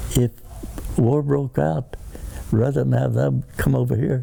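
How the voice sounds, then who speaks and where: A man with an American accent speaks at a fairly low pitch, his voice moving through very wide pitch swings. Noticeable background noise runs underneath. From Arizona, US. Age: 80s+. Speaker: war veteran. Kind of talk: interview answer.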